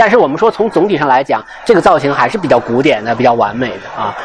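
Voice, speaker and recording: Noticeable background noise beneath speech full of very wide pitch swings. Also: man. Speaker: art guide and podcast host. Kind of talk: guided gallery tour talk. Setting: museum exhibition hall with visitors.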